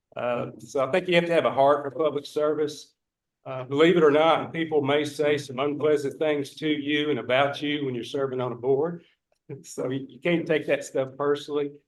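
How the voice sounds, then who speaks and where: At a moderate pace, a man with a Northeast Texas accent talks in a fairly high voice, his intonation fairly even but his loudness swinging widely. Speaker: board candidate. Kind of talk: candidate self-introduction at public meeting. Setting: public meeting.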